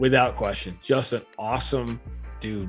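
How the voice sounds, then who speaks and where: Music plays behind a man with an American accent and a fairly low voice. His tone is animated, with very wide pitch swings. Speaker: radio play-by-play announcer. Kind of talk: interview answer, storytelling. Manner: conversational, animated.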